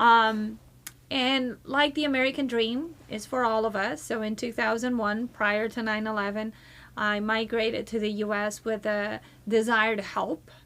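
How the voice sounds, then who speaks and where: A woman with a Portuguese accent speaks at a fairly slow pace, her intonation fairly even. The recording is very clean, with a silent background. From Brazil. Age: 40s. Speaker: community leadership nonprofit founder. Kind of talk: podcast interview. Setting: studio.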